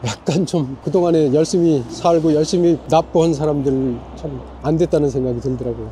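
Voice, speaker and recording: A man at a fairly high pitch, with ordinary pitch variation, a moderate pace and hardly any pauses, over noticeable background noise. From South Korea. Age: 60s. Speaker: retired restaurant owner, immigrant. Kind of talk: street interview.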